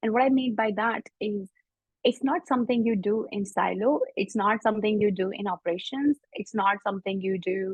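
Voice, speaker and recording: The woman's voice is somewhat breathy, with a fairly high pitch and ordinary pitch variation. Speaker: IT service management consultant. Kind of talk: webinar presentation. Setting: online webinar. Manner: fast.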